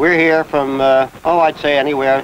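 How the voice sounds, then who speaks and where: Fairly even intonation from a man with a fairly high pitch, moderate pace, noticeable background noise. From New Jersey. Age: 60s. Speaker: retiree tennis player. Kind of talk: interview testimony.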